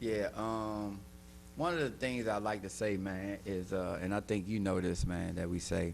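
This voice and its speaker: Speaking at a moderate pace with very even loudness, a man uses a fairly low pitch and ordinary pitch variation in a room with audible echo. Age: 50s. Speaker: recovery counselor. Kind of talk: casual chat.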